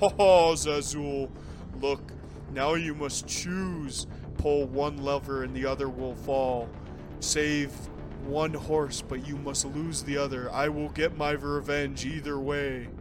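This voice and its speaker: A man talks in a put-on character voice, pitched fairly high, at a fairly slow pace. Loud music plays in the background. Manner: villainous.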